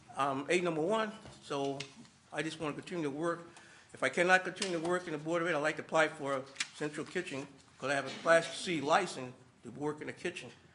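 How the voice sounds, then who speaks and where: Noticeable background noise surrounds a man with a fairly high pitch and fairly even intonation. He talks at a very fast pace, yet with long, frequent pauses. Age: 80s+. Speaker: school staff member and military veteran. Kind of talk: public comment at board meeting. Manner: halting.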